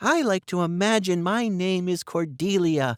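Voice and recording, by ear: The speaker is reading aloud in a natural voice, the pitch varying in an ordinary way.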